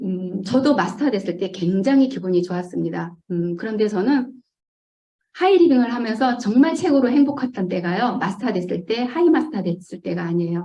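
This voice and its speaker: Her voice is somewhat breathy and medium in pitch, with lively intonation at a moderate pace. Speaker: network marketing distributor. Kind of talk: business presentation. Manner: hesitant fillers.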